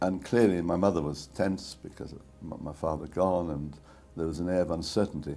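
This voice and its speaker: A man's very deep, low voice at a fairly quick pace, fairly even intonation, and music in the background. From Czechoslovakia, Prague. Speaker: Holocaust survivor. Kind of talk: testimony. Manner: halting.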